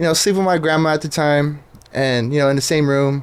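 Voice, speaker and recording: Here a man speaks at a fairly quick clip. His pitch is fairly high. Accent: Southern California. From Southern California (Riverside). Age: 20s. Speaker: Instagram page creator, former truck driver. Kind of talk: casual podcast interview. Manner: casual, filler-heavy.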